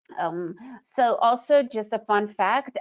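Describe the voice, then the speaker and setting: With an American accent, a woman is talking. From United States. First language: Russian. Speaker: trading educator. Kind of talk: webinar presentation. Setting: webinar.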